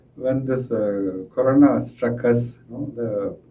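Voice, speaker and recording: A man with a dark, mellow tone and a somewhat breathy sound speaks at a fairly slow pace. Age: 60s. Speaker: school administrator. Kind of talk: interview answer. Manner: halting.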